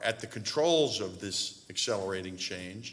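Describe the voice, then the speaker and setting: The speaker is a man at a medium pitch. His pace is fairly slow. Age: 60s. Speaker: real estate investor and university donor. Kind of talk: panel discussion remarks. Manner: halting, many fillers.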